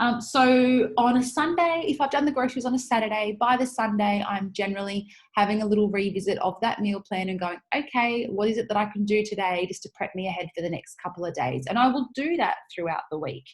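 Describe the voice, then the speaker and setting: A woman talks at a fairly quick pace with hardly any pauses, her pitch fairly high and her intonation lively. Her voice is somewhat breathy. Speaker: podcast host. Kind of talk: casual monologue. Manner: fast; animated.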